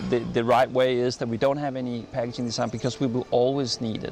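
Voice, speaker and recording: A man's medium-pitched, monotone, flat delivery in a Danish accent, at a fairly quick pace, with music in the background. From Denmark. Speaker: design expert. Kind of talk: interview. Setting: design festival interview. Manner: halting.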